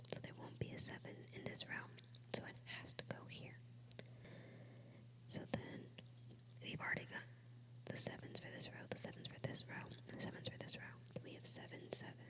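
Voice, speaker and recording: Whispering at a fairly quick pace, a woman leaves long, frequent pauses, her loudness swinging widely over noticeable background noise. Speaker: ASMR creator. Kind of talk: ASMR puzzle-solving video. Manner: whispered; soft-spoken.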